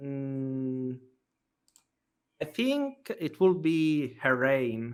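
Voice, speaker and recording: With ordinary pitch variation, a man talks very slowly at a fairly high pitch. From Italy. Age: 20s. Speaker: game streamer. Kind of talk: interview.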